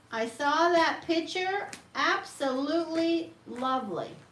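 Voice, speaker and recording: A woman talks at a very slow pace in an extremely high pitch with ordinary pitch variation. Audible room echo and noticeable background noise are present. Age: 60s. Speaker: tarot reader. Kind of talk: live-stream tarot reading. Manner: halting, many fillers.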